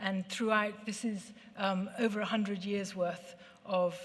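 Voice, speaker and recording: Amid audible room echo, a woman talks fairly slowly at a medium pitch, her intonation monotone and flat. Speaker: ceramics researcher and co-author. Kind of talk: lecture. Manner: hesitant, many fillers.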